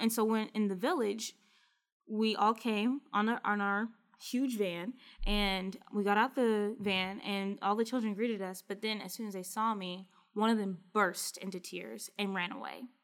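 In an American accent, a woman speaks at medium pitch and a moderate pace, her intonation fairly even. It is a normal speaking voice. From US South, small-town Kentucky. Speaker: study abroad professional, former Fulbright researcher. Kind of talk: interview conversation.

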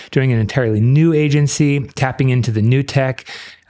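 An ordinary speaking voice from a man at medium pitch, with fairly even intonation and a moderate pace, against a quiet background. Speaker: podcast host, agency owner. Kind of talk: casual chat.

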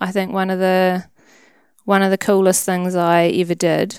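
In a New Zealand accent, a woman speaks with a fairly low pitch and monotone, flat intonation on a very clean recording with a silent background. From New Zealand, Wellington. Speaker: hunter and conservation worker. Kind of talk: casual interview chat.

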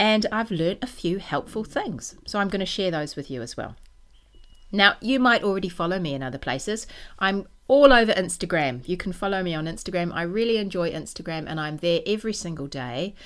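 A woman with a New Zealand accent and medium pitch speaks at a fairly quick pace with lively intonation, in a very clean recording with a silent background. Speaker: knitting podcaster and designer. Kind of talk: casual monologue.

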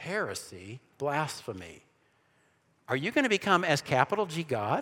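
A man's fairly high, bright, sharp voice with vocal fry and an animated tone, in an American accent, on a very clean recording against a silent background. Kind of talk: church seminar lecture. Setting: room with live audience. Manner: fast.

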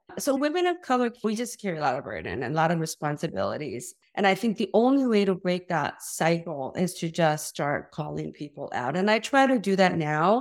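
A woman at a medium pitch with a Korean accent, very wide pitch swings, a fairly quick pace and hardly any pauses, on a very clean recording with a silent background. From South Korea. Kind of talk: interview conversation with a passage read aloud.

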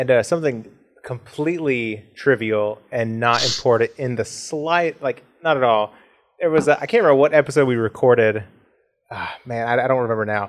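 At a fairly quick pace, a man uses a normal speaking voice with medium pitch and ordinary pitch variation. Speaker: podcast co-host. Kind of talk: casual chat.

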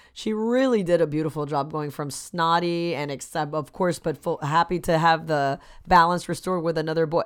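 A woman with a normal speaking voice and an American accent talks at a fairly quick pace with hardly any pauses, her pitch fairly low with ordinary variation. The recording is very clean with a silent background. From Miami, Florida. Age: 30s. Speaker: actor. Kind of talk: casual chat.

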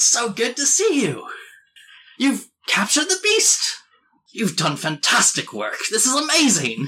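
Putting on a character voice, a man speaks at an extremely high pitch and a moderate pace, with long, frequent pauses. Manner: excited, enthusiastic.

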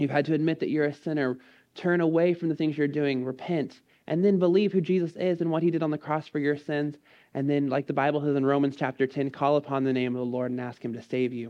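A man with an American accent talks very fast in a fairly high voice. His intonation stays fairly even. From Texas, College Station. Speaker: missionary. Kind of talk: sermon.

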